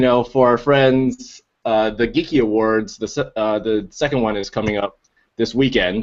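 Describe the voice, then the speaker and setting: The speaker is a man at medium pitch. He talks at a moderate pace with an American accent. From US, Anaheim, California. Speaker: podcast host. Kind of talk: casual chat. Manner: hesitant, many fillers.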